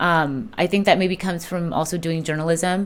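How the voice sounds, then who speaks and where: A woman speaks with a Spanish accent. Her pitch is fairly low and her intonation fairly even. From Southern California and Colombia. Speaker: political candidate. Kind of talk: interview.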